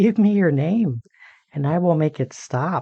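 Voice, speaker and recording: With a fairly high pitch and a fairly slow pace, a man performs a put-on character voice. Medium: read story. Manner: giggling, taunting.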